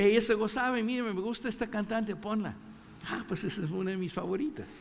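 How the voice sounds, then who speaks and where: A man talks in a high voice, with audible echo from the room. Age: 60s. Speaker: pastor. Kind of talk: sermon. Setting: church.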